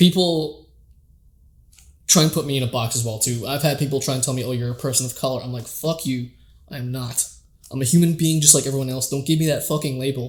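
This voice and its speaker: Somewhat breathy and very fast, a man speaks at a fairly high pitch with fairly even intonation. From Canada. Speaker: podcast host and amateur comedian. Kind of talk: casual chat. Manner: casual with frequent fillers.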